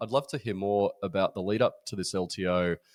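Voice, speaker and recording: On a very clean recording with a silent background, a man in an Australian accent speaks at a fairly quick pace with lively intonation. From Australia, Brisbane. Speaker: podcast host. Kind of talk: podcast interview.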